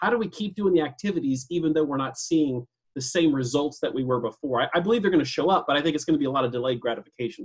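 A man with an American accent speaks very fast with hardly any pauses. His fairly high, somewhat breathy voice has lively intonation. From US Pacific Northwest, northern Idaho. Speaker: real estate sales leader and trainer. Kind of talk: casual interview.

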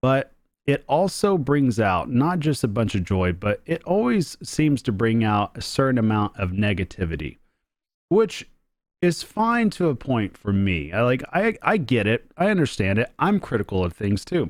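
A man speaks at a moderate pace with a medium pitch, his voice swinging very widely in pitch while the loudness stays very even, on a very clean recording with a silent background. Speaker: podcast host. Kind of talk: casual solo podcast talk. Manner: casual, off the cuff, excitable.

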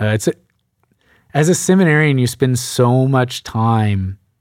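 A man with an American accent speaks with lively intonation on a very clean recording with a silent background. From Texas, Sugar Land near Houston. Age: 20s. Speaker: transitional deacon. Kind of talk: casual interview.

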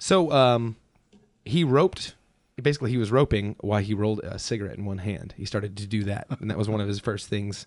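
A man with an American accent, an ordinary speaking voice, fairly low pitch, ordinary pitch variation and a fairly quick pace. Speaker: museum podcast co-host. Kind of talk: casual chat. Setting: basement studio. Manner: jokey, laughs often.

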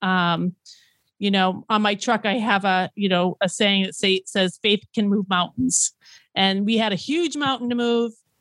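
A woman with a normal speaking voice talks at a medium pitch and a fairly slow pace, with very even loudness and ordinary pitch variation, in a dry, close sound with no echo on a very clean recording with a silent background. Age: 50s. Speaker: food truck owner. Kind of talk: interview.

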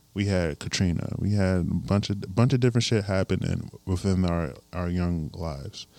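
Recorded very cleanly against a silent background, a man with an American accent speaks at a moderate pace in a very deep, low pitch with a dark, mellow tone. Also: ordinary pitch variation. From US Midwest, Elkhart, Indiana. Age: 20s. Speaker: musician and artist. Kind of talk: casual chat. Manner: halting.

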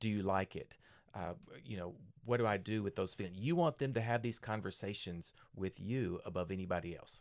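A man's normal speaking voice, fairly low in pitch and fairly quick, with ordinary pitch variation, in a very clean recording with a silent background. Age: 50s. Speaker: pastor. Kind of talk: casual chat.

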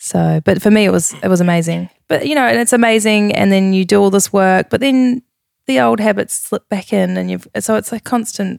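Her sound dry and close with no echo, a woman speaks with a New Zealand accent at a fairly quick pace, a medium pitch and lively intonation. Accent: New Zealand (Kiwi). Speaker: fitness coach and former pageant contestant. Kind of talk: casual chat.

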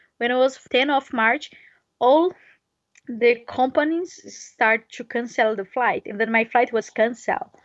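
Speaking with a Brazilian Portuguese accent, a woman uses a high pitch and ordinary pitch variation. She keeps a moderate pace broken by long, frequent pauses. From Brazil, near Brasilia. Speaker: touring cyclist. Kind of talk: interview. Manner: halting non-native English.

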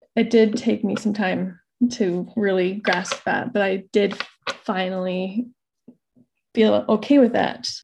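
A woman with a medium-pitched, somewhat breathy voice talks at a very slow pace with fairly even intonation and long, frequent pauses. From Idaho. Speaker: mother sharing birth stories. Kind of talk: interview testimony.

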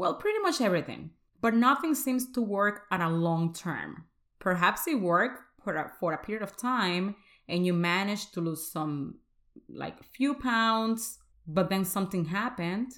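A woman's medium-pitched voice with a Spanish accent, lively intonation and a moderate pace. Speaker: podcast host, faith-based weight coach. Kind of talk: motivational solo podcast talk; prayer.

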